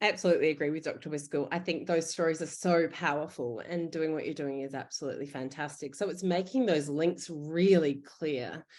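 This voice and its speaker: The speech comes with an Australian accent at a fairly quick pace, with hardly any pauses. The background is quiet. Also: woman, very deep, low pitch for a woman, ordinary pitch variation. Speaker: emergency physician. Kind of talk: panel Q&A answer.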